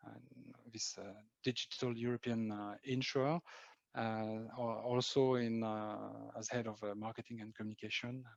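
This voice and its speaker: With a French accent, a man at a medium pitch talks at a moderate pace in a monotone, flat intonation. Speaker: marketing executive. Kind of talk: interview. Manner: halting.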